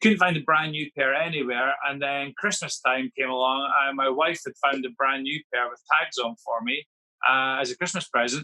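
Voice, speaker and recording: A man speaks in a plain, everyday voice at a fairly high pitch. His pace is fairly quick and his intonation fairly even. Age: 40s. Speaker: football boot collector, school teacher.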